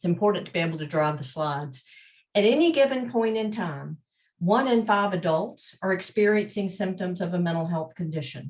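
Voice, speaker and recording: A somewhat breathy woman at a moderate pace. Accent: slight Southern US. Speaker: mental health advocacy representative. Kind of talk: panel presentation.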